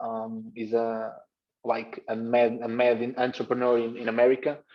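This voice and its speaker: Moderate-paced speech with a Portuguese accent. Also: man. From Portugal, Gaia. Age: 20s. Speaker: basketball coach. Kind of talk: presentation on video call. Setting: video call. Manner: halting, many repetitions.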